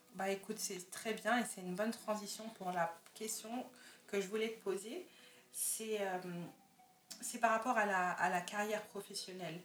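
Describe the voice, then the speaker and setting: Against noticeable background noise, a woman talks at a fairly slow pace in a medium pitch, with fairly even intonation and long, frequent pauses. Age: young. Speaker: podcast host. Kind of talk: interview.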